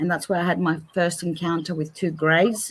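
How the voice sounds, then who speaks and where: A woman with an Australian accent speaks in a fairly low, flat, monotone voice. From Australia, Greek family. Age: 50s. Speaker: paranormal researcher. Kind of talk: interview. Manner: halting.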